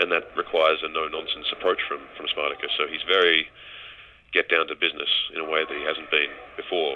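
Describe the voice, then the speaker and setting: With an Australian accent, a man speaks at a fairly quick pace over noticeable background noise. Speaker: actor. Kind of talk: press call interview. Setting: phone call.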